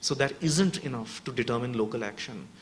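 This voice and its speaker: Against noticeable background noise, the talking proceeds at a fairly quick pace. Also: man. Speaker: urban resilience researcher. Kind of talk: panel discussion answer. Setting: workshop with audience. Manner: fast.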